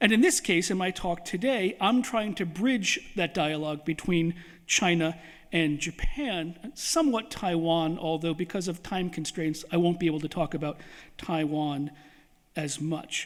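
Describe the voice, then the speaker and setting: Recorded very cleanly against a silent background, a man speaks at a fairly slow pace. His pitch is high, with ordinary variation. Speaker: history professor. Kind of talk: lecture. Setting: lecture hall with audience and microphone. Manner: many filler uhs.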